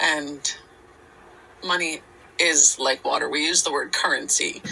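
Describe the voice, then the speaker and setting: Noticeable background noise is present. A woman talks at a fairly slow pace. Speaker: podcast co-host. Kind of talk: casual chat. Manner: halting.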